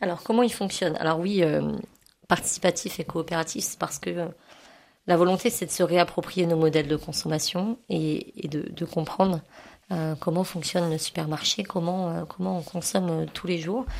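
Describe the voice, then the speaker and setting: Fairly even intonation marks this woman's fairly low-pitched speech. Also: moderate pace. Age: 30s. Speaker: cooperative supermarket volunteer. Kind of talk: radio interview. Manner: hesitant, many fillers.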